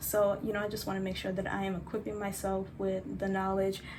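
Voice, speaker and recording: Both audible room echo and noticeable background noise surround a woman as she speaks. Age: 20s. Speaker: vlogger. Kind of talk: casual vlog talk.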